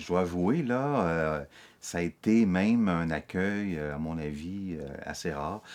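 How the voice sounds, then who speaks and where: A man talks with lively intonation. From Quebec (Montreal, Laval). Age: 50s. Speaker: interviewee, newcomer to the region. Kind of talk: documentary interview. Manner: hesitant, many fillers.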